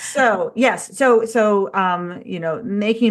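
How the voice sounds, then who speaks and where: A woman with a Baltimore accent. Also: quiet background. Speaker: strength coach. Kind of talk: casual podcast chat.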